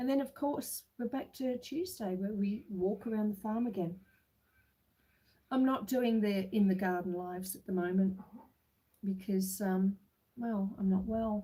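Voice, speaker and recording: Somewhat breathy with a dark, mellow tone, a woman speaks at a fairly slow pace with long, frequent pauses. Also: medium pitch for a woman, ordinary pitch variation. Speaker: homestead livestreamer. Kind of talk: casual livestream chat. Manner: relaxed, unhurried.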